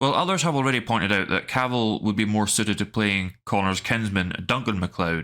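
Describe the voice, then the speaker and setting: Speaking at a fairly quick pace, a man with a Scottish accent has a bright, sharp tone, a fairly low pitch, and ordinary pitch variation, on a very clean recording with a silent background. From Scottish Highlands. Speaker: YouTube film commentator. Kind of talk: scripted commentary.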